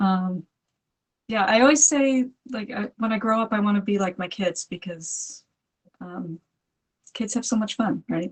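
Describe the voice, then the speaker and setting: Long, frequent pauses break up a woman's somewhat breathy, fairly high voice as she talks at a fairly slow pace with ordinary pitch variation. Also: dry, close sound with no echo. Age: 50s. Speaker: movement practitioner, community member. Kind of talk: casual interview.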